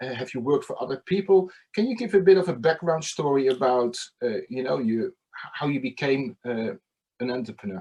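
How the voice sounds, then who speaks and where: This voice has a dark, mellow tone and lively intonation. It moves at a fairly quick pace. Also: man, fairly high pitch for a man. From Netherlands. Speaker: podcast host. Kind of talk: interview.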